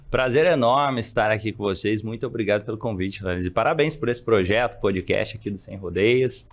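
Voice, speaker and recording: This is a man with a plain, everyday voice at a medium pitch. He talks fairly quickly with hardly any pauses and ordinary pitch variation. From Brazil, Minas Gerais (São Gotardo). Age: 30s. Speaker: psychologist and coach. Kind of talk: podcast interview.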